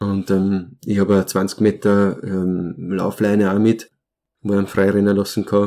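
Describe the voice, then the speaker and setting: A dark, mellow tone moves at a very slow pace with monotone, flat intonation. The recording is very clean, with a silent background. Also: man, fairly low pitch for a man. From born in Romania, grew up in Austria. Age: 30s. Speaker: glassblower. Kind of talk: interview. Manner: halting, many fillers.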